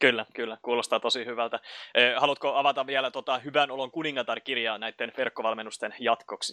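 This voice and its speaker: A man's bright, sharp tone, flat and monotone, at a fairly quick pace against a quiet background. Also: medium pitch for a man, dry, close sound with no echo. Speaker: podcast host. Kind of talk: interview.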